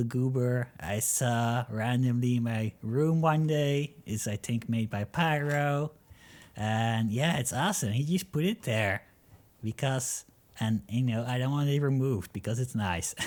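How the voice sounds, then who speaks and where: Man at a medium pitch, ordinary pitch variation, very even loudness, fairly slow pace, very clean recording with a silent background. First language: not English. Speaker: gaming YouTuber. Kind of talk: casual gameplay commentary. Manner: hesitant, many fillers.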